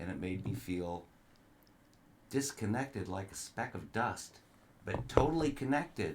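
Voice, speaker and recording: At a fairly slow pace and with long, frequent pauses, a man speaks in a fairly low pitch with vocal fry and very wide pitch swings. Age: 60s. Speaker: grandfather guest on podcast. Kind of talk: casual chat.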